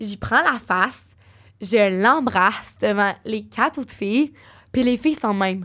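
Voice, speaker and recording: This is a woman with an ordinary speaking voice and ordinary pitch variation. The recording is very clean, with a silent background. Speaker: podcast guest. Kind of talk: casual chat.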